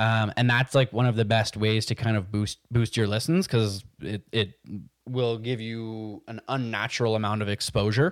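The delivery keeps a moderate pace with fairly even intonation. The sound is dry and close, with no echo. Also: man, medium pitch for a man, very clean recording, silent background. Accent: Montreal. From Quebec, Montreal West Island. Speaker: podcast co-host, business operations manager. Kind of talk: casual chat. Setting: studio with video.

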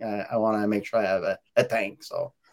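A man's slightly mellow voice at a fairly quick pace, with fairly even intonation. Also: fairly low pitch for a man.

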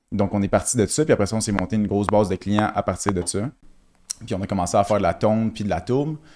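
In a very clean recording with a silent background, a man with a Quebec accent talks at a very fast pace with fairly low pitch and ordinary pitch variation. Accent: Québécois French. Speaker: crypto entrepreneur. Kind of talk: casual chat.

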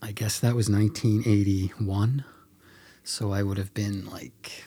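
A man speaks at a fairly slow pace in a dark, mellow, somewhat breathy tone with ordinary pitch variation. The recording is very clean, its background silent. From Mount Pearl, Newfoundland, Canada. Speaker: filmmaker. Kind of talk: casual chat. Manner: halting.

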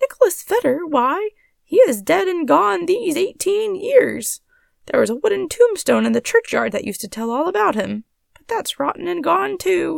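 A put-on character voice at an extremely high pitch speaks at a moderate pace.

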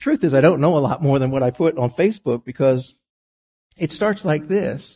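Speaking at a fairly quick pace, a man with a fairly high pitch and ordinary pitch variation sounds dark, mellow and somewhat breathy, in a dry, close sound with no echo. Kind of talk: sermon with a personal life story. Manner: reflective, storytelling; earnest, measured pace.

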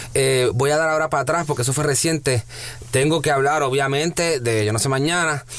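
Over noticeable background noise, a man with fairly high pitch speaks at a fairly quick pace with fairly even intonation and very even loudness. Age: 30s. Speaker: radio host. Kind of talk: interview.

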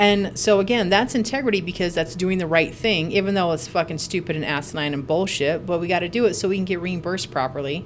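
This woman has an unremarkable speaking voice at a medium pitch. She talks at a fairly quick pace with lively intonation. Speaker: nurse podcast host. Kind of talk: casual chat. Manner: casual, joking.

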